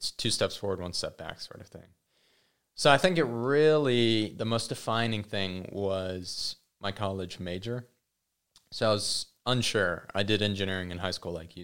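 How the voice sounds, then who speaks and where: In a very clean recording with a silent background, a man with an unremarkable speaking voice talks at a moderate pace, with a fairly low pitch, ordinary pitch variation and big swings in loudness. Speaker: podcast guest. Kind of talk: casual chat.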